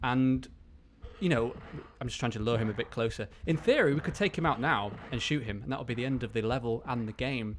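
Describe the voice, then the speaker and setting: A man with a medium pitch talks at a fairly quick pace with ordinary pitch variation. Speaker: video game walkthrough commentator. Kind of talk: gameplay tutorial commentary. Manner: fast.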